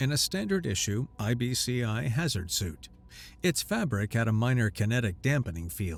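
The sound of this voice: The clip features an unforced reading voice. It is an unforced reading voice throughout.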